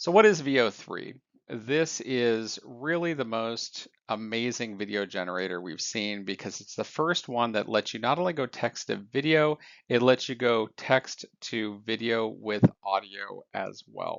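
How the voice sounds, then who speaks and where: Speaking at a medium pitch with ordinary pitch variation, a man has a plain, everyday voice and big swings in loudness. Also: fairly slow pace. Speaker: AI news commentator. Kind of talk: scripted news recap.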